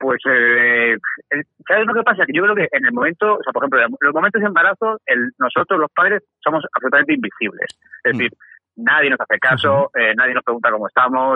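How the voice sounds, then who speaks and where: A man races along at a very fast pace, his pitch making very wide swings. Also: fairly high pitch for a man. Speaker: podcaster and father. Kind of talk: casual chat.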